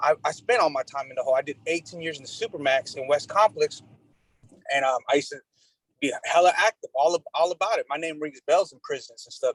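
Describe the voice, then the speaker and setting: A man speaks very fast in an animated tone, with big swings in loudness. The sound is dry and close, with no echo. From Mexico. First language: Spanish. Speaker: nonprofit executive director, outreach worker. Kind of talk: community meeting discussion. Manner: animated, repetitive with false starts.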